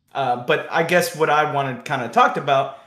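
A man talks at a moderate speed, and his voice carries audible room echo. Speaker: electrician. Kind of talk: debate. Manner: grating tone at times.

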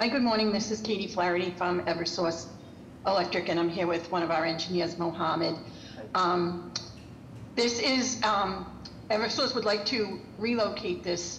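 A woman's voice with ordinary pitch variation, light background noise and audible room echo. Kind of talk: hearing presentation. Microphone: video call.

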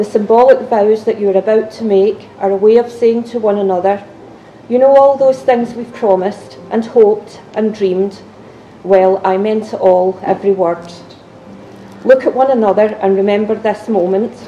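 A woman talks at a moderate pace with light background noise behind her. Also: fairly even intonation. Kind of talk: ceremony address. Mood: warm, solemn. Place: hall.

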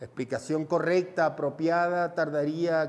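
This man talks at a fairly slow pace. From Venezuela. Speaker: film teacher. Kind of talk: tutorial. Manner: animated. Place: studio.

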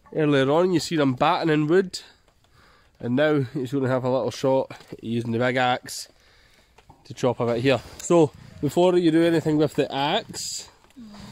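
A Scottish accent at a moderate pace, with ordinary pitch variation, long, frequent pauses, and a dry sound with no echo. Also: man, fairly high pitch for a man. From Scotland. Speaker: bushcraft video creator. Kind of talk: outdoor tutorial vlog. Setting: outdoors in forest. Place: forest. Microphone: phone near.

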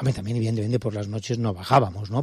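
A man speaks with a dark, mellow tone that is somewhat breathy. The recording is very clean with a silent background. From Spain, Valencia. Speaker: museum director. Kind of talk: interview. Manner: calm.

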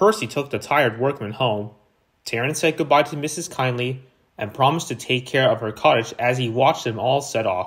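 Lively intonation marks this man's somewhat breathy voice. The recording is very clean, the background silent. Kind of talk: dramatic storybook narration, reading a children's tale aloud. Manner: warm, theatrical storyteller, animated and expressive.

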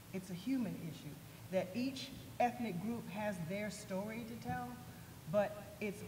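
Noticeable background noise sits behind a woman speaking. She keeps a moderate pace with lively intonation. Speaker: dance company founder; panelist. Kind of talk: panel discussion. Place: hall. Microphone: podium.

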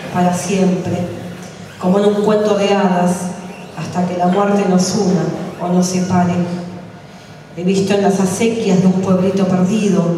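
A woman's fairly slow, monotone, flat delivery with long, frequent pauses, strong room echo and light background noise. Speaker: open mic poet. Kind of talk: poetry reading. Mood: grave, solemn. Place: cafe.

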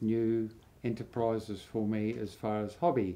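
Speaking at a fairly slow pace, a man with an Australian accent has a medium pitch and a dark, mellow tone. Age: 80s+. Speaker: home brewer and gardener. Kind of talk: casual talk to camera. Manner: hesitant, with fillers. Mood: calm, reflective recollection. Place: home room.

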